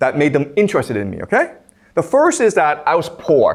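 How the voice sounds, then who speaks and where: There is vocal fry in this man's voice. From Canada. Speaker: professor. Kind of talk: lecture. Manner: casual, frequent 'okay?' checks.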